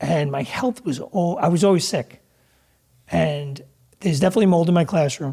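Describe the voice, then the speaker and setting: His voice sits high in pitch with a dark, mellow tone, and the man pauses long and frequently. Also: ordinary pitch variation, moderate pace. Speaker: real estate investor and teacher. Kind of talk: casual chat.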